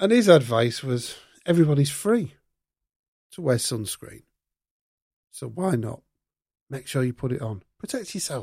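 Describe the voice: On a very clean recording with a silent background, a man speaks at a fairly slow pace and medium pitch, his slightly mellow tone marked by vocal fry, lively intonation, and long, frequent pauses.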